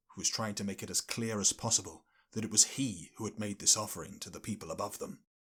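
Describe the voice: Fairly even intonation over plain reading aloud.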